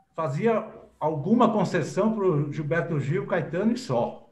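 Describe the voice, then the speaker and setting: A man speaks in a high pitch that varies in an ordinary way, with audible echo from the room. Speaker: journalist and writer. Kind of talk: interview.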